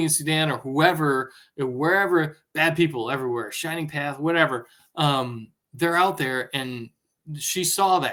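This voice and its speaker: An animated tone at a moderate pace with ordinary pitch variation, on a very clean recording against a silent background. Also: man. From US Midwest, Northwest Ohio. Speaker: former intelligence analyst and author. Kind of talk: interview.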